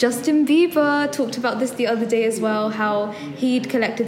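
A woman with a fairly high pitch at a fairly quick pace, amid noticeable background noise and audible room echo. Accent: London. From London, England. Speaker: podcast co-host. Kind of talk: casual chat.

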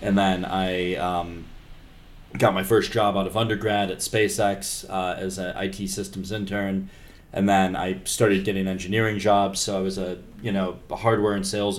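Room echo is audible as a man speaks at a moderate pace. His voice is fairly low and his intonation monotone and flat. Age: 30s. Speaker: podcast host and robotics engineer. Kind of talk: casual chat.

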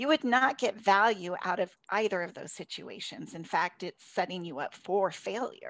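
In an unremarkable speaking voice, a woman talks at medium pitch and a moderate pace with lively intonation on a very clean recording with a silent background. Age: 50s. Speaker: life coach and podcast co-host. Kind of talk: conversational podcast discussion.

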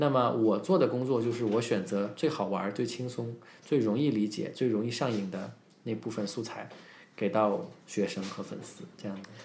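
A man with an ordinary speaking voice talks at a medium pitch and a moderate pace. His loudness swings widely, while his pitch varies an ordinary amount. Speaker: English teacher and speech coach. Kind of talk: casual podcast interview. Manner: fluent, code-switching between Chinese and English.

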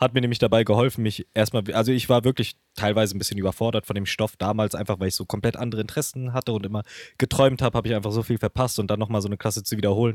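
A man with a fairly low pitch talks very fast, hardly pausing, in a flat monotone. The sound is dry and close with no echo, on a very clean recording with a silent background. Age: 20s. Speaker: podcast host, author and marketing strategist. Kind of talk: casual chat.

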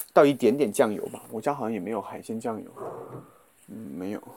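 His pace runs fairly quick. The man's voice sits at a medium pitch. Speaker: podcast host. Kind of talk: casual vlog-style monologue while cooking. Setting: walking outdoors to and from supermarket. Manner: casual, with many fillers. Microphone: muffled by face mask.

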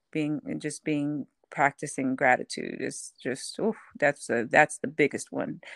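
A woman with an American accent speaks at a fairly slow pace, her voice dry and close with no echo on a very clean recording against a silent background. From Houston, Texas. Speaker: author. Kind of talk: casual interview.

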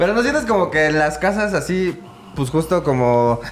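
This man's fairly high voice moves at a fairly quick clip with lively intonation, and noticeable background noise runs underneath. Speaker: podcast host. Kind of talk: casual interview. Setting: live-streamed podcast.

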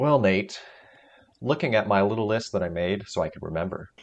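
Here is a man with an unremarkable speaking voice. His pitch is fairly low, and his pace is moderate. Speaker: podcast co-host. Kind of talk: casual chat. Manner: joking, playful.

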